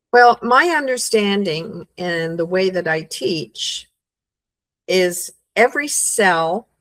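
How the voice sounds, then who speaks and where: In a dry, close sound with no echo, a woman speaks at a very slow pace and medium pitch with ordinary pitch variation. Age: 70s. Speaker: holistic health practitioner. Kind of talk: interview.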